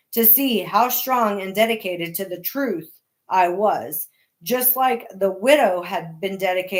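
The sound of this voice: Quiet surroundings, an unforced reading voice, ordinary pitch variation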